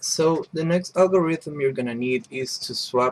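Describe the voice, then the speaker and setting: In a dry, close sound with no echo, a man speaks at a fairly slow pace with lively intonation. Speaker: puzzle tutorial maker. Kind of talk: tutorial. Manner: casual, hesitant with fillers.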